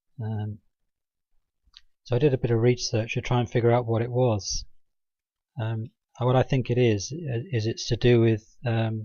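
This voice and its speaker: Quiet speech unfolds at a fairly slow pace. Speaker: religious video blogger. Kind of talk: informal monologue presentation. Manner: halting, many fillers; drops volume, quiet. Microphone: mic adjusted nearer, may be quiet.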